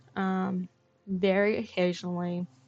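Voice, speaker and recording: Music plays in the background as a woman speaks with an Australian accent in a relaxed tone at medium pitch. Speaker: gaming streamer. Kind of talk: live game streaming commentary. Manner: casual, relaxed.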